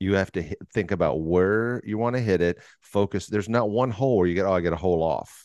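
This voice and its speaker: Speaking very fast with hardly any pauses, a man with an American accent uses ordinary pitch variation against a quiet background. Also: fairly low pitch for a man. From Texas, Fort Worth. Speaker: podcast host. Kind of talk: scripted narration; casual chat.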